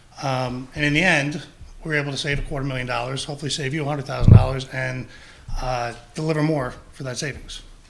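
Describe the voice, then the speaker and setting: Audible room echo surrounds a man who talks at a very fast pace in a monotone, flat intonation. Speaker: public health district official. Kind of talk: presentation at town council meeting. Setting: town council meeting, also streamed on Zoom.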